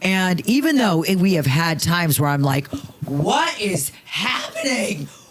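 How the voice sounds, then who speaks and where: A woman with an American accent, very wide pitch swings, a fairly slow pace, and very even loudness, with audible room echo and noticeable background noise. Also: medium pitch for a woman. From Las Vegas, US. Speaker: comedian. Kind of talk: casual chat. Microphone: poor sound quality.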